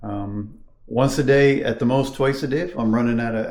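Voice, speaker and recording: Audible room echo around a man's medium-pitched voice. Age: 60s. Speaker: health vlogger. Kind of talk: casual vlog talk. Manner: hesitant, many fillers.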